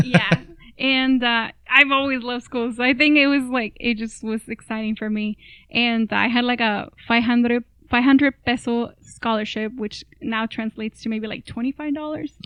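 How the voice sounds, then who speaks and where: A woman with a Spanish accent speaks at a moderate pace in a high voice. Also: fairly even intonation. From Mexico (Matamoros, Tamaulipas), then Brownsville, Texas from age 12. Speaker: public health professional. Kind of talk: casual chat.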